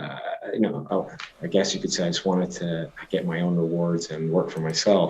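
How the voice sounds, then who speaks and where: With a slight Scottish accent, the speaker keeps a fairly even intonation over noticeable background noise. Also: man, very deep, low pitch for a man, moderate pace. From Scotland. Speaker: company CEO. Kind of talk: podcast interview. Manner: hesitant, many fillers and restarts.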